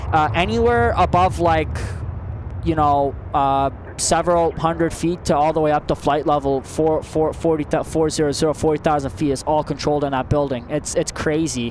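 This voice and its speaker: In a Canadian accent, a man talks at a fairly high pitch with very even loudness. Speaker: plane spotting livestreamer. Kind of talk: live commentary, casual chat. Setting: outdoors at airport. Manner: fast; animated.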